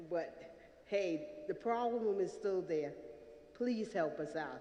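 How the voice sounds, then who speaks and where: A woman at a very slow pace and medium pitch, with noticeable background noise and audible room echo. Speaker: tenant testifying at public hearing. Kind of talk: public testimony. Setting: public hearing in theatre. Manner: loud; halting.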